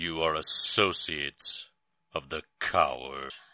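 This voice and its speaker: A booming, raspy put-on character voice from a man, at a fairly slow pace. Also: very deep, low pitch for a man. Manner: accusatory, imposing.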